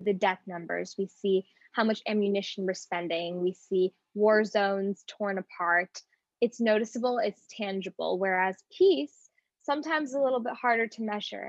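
In an ordinary speaking voice, the woman talks at a medium pitch and a moderate pace. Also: ordinary pitch variation. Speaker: student podcast host. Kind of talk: interview.

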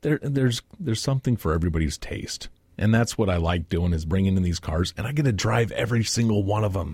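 Somewhat breathy, a man speaks at a very fast pace. His pitch is fairly low. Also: lively intonation. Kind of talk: radio interview. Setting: studio.

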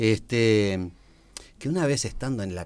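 A man talks in an ordinary speaking voice. His pitch is fairly low, with ordinary variation. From Uruguay, Montevideo (Piedras Blancas). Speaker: recreation educator and teacher. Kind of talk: casual radio chat.

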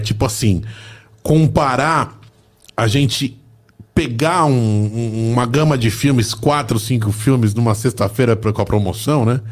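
A man speaks at a fairly slow pace and medium pitch. It is an ordinary speaking voice with ordinary pitch variation. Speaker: podcast host. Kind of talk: casual interview chat. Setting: studio.

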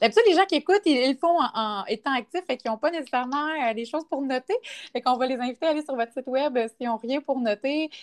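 In a Quebec accent, a woman talks at a very fast pace and a high pitch, recorded dry and close with no echo in a very clean take with a silent background. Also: lively intonation. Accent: Québécois French. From Quebec, Quebec City region. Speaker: podcast host, fitness instructor. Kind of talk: casual interview.

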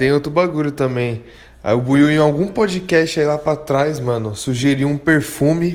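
With a normal speaking voice, a man talks at a fairly slow pace and a fairly high pitch, using ordinary pitch variation. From Guarujá, São Paulo state, Brazil. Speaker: food delivery business owner, listener. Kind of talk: voice message story.

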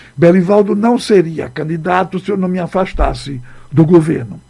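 This man has a high pitch, a dark, mellow tone and a fairly slow pace. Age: 70s. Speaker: former state governor. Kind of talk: radio interview. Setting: radio studio.

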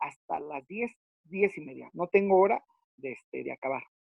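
This man's voice is high in pitch, with ordinary pitch variation and a moderate pace. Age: 40s. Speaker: professional wrestler. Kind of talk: interview.

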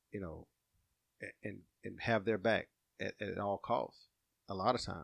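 With an Alabama accent, a man talks in a very deep, low pitch and fairly even intonation. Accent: Southern US (Alabama). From Alabama, Walker County. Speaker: small-town mayor and police officer. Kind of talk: casual interview.

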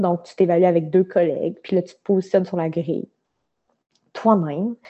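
Speaking with a Quebec accent, a woman keeps a medium pitch and fairly even intonation. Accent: Québécois French. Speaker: management consultant. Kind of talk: casual interview.

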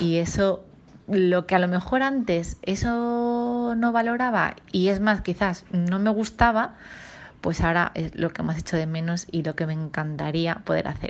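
A woman has a plain, everyday voice. Her medium pitch shows ordinary pitch variation. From Ibiza, Sant Antoni. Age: 40s. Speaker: nurse. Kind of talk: voice message testimony. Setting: recorded voice message.

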